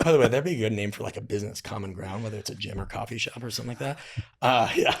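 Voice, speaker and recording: A man talks at a very fast pace over noticeable background noise. His medium pitch shows ordinary variation. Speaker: strength coach and communication author. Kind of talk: casual podcast conversation. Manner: passionate, animated.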